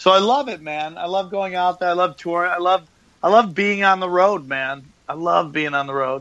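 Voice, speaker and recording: This man has a high-pitched voice with a bright, sharp tone. He speaks at a moderate pace with ordinary pitch variation against a quiet background. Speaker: comedian and podcaster. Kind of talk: casual interview chat. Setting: Skype call. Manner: animated.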